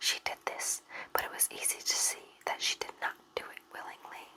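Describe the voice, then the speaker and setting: A woman is whispering at a moderate pace. Background noise is noticeable. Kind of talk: whispered sleep story reading.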